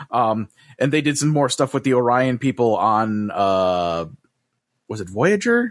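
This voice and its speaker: Using a plain, everyday voice, a man speaks with lively intonation. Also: medium pitch for a man. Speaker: podcast host. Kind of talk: casual chat. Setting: video call.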